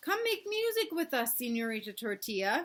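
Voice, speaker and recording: Doing a put-on character voice, a woman speaks in a high pitch with very wide pitch swings and hissing, at a moderate pace. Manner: hissing, inviting.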